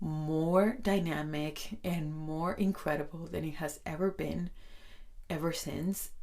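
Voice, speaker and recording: A woman speaks at a very slow pace in a very deep, low voice. Her intonation stays fairly even. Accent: Spanish. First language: Spanish. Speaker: podcast host. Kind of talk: self-help podcast talk.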